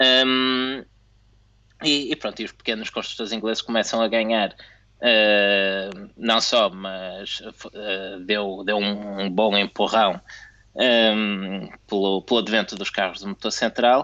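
A man with a European Portuguese accent speaks very slowly in a fairly low voice. His tone is bright and sharp, with fairly even intonation. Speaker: F1 podcast co-host. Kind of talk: casual chat. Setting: video call.

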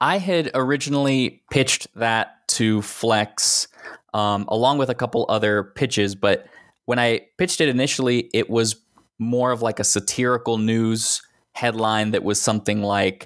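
An ordinary speaking voice with an American accent, fairly even intonation and very even loudness at a moderate pace, on a very clean recording with a silent background. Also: man. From Texas. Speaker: writer. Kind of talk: casual chat.

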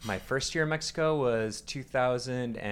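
Speaking at a moderate pace with ordinary pitch variation, a man with an American accent uses an ordinary speaking voice. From US Northeast, Long Island, New York. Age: 20s. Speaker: rock climber. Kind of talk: interview.

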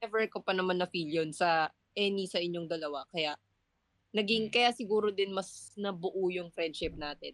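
At a moderate pace, a woman speaks at a medium pitch with ordinary pitch variation, the sound dry and close with no echo. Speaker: culinary student, podcast co-host. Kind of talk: casual chat.

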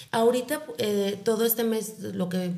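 Over audible room echo, a woman speaks fairly slowly in a flat, monotone way. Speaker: psychologist and breast cancer foundation founder. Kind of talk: interview.

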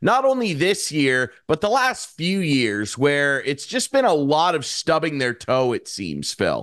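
A man speaks at a moderate pace in an ordinary speaking voice over a quiet background. His pitch is fairly high, and his intonation is lively. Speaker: podcast host. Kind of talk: casual chat.

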